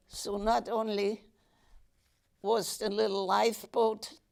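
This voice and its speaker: A woman's fairly high voice with vocal fry, fairly even intonation and a very slow pace. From Germany. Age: 80s+. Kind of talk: interview answer.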